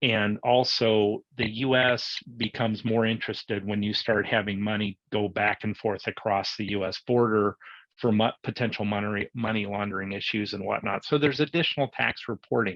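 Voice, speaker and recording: A man with a normal speaking voice, fairly low in pitch, at a moderate pace with fairly even intonation. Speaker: tax and accounting advisor. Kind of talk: webinar presentation.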